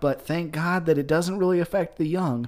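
A man with a Southern accent speaks in a high voice with ordinary pitch variation, on a very clean recording with a silent background. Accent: sounds Southern. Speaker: podcast co-host. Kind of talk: casual chat.

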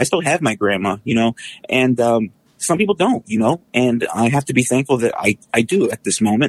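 A man with an American accent and a normal speaking voice, medium in pitch, with lively intonation at a fairly quick pace, dry and close with no echo. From Texas, San Antonio. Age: 30s. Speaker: former radio broadcaster. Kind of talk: casual chat.

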